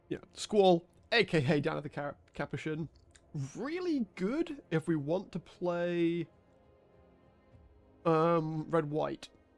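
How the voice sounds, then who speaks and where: With a British accent, a man speaks at a very slow pace and a high pitch, leaving long, frequent pauses. His pitch varies in an ordinary way, the sound is dry and close with no echo, and music plays in the background. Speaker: gaming streamer. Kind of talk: gameplay commentary.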